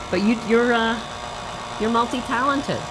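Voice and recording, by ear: A woman's fairly high voice at a fairly slow pace, with ordinary pitch variation and clear background noise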